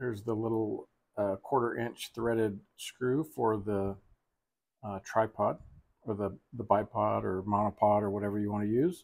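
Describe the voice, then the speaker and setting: A fairly slow-paced male speaker, the background quiet. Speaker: product reviewer. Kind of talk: product review tutorial. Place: home room.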